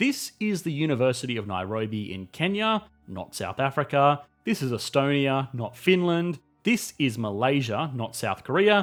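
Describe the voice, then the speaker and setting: There is music in the background as a man speaks with an Australian accent. His moderate pace carries very wide pitch swings. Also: fairly high pitch for a man. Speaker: economics YouTube narrator. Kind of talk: scripted narration.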